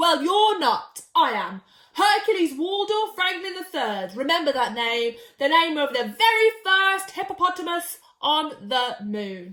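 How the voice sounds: The speaker puts on a character voice with a bright, sharp tone and big pitch swings. The pace is fairly slow, with few pauses. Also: woman, high pitch for a woman.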